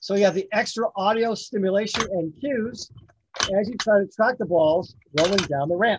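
Recorded dry with no echo but with noticeable background noise, a man speaks at a high pitch and a moderate pace, with ordinary pitch variation. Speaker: toy demonstrator. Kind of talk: product demonstration. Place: home room.

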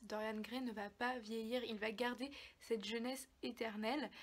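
Her pitch is fairly high and her intonation fairly even. The woman speaks at a fairly slow pace. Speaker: book YouTuber. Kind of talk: casual book review vlog. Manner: hesitant, many fillers. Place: home room. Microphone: phone near.

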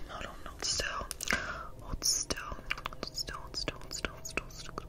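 A woman whispering at a fairly slow pace. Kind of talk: soft roleplay chat. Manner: soft, hushed repeated instructions. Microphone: phone near.

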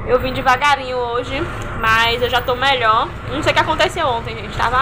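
A woman with a high-pitched voice speaks at a moderate pace with fairly even intonation. Noticeable background noise runs behind her. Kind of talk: casual vlog chat. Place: workshop. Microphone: phone near.

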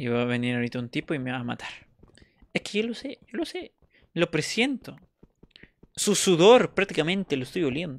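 In a very clean recording with a silent background and a dry, close sound with no echo, a fairly high-pitched man speaks at a fairly quick pace with very wide pitch swings and long, frequent pauses. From Peru. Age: 20s. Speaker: gaming streamer. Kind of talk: live gameplay commentary. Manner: animated.

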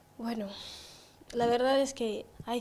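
The voice moves at a fairly slow pace with monotone, flat intonation and a dark, mellow tone. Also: woman. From Equatorial Guinea, Bata; Equatorial Guinea. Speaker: beauty pageant queen; guest. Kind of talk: interview. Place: studio. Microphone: handheld.

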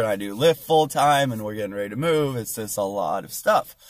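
The speech moves at a moderate pace with ordinary pitch variation. The sound is dry with no echo, over a quiet background. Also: man. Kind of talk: casual vlog chat. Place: car. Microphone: phone near.

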